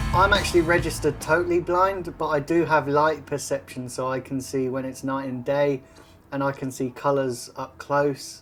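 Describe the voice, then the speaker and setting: Noticeable background noise accompanies a man speaking at a fairly high pitch with fairly even intonation. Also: moderate pace. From South West England (Exeter, from age five). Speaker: football fan. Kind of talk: interview. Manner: casual.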